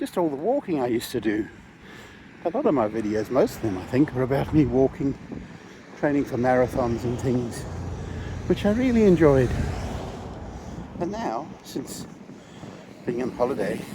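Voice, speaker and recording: Amid noticeable background noise, a man with a medium pitch uses lively intonation and takes long, frequent pauses. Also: moderate pace. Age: 60s. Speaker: vlogger. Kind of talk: casual vlog monologue. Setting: outdoors. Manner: halting.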